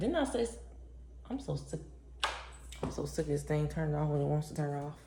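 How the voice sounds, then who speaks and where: Relaxed in tone, the speaker talks at a fairly quick pace with audible room echo. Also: woman. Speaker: lifestyle vlogger. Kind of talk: casual vlog chat. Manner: relaxed, conversational.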